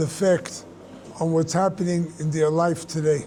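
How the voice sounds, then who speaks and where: There is noticeable background noise as a man speaks in a high voice. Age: 80s+. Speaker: rabbi teacher. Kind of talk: question and answer talk.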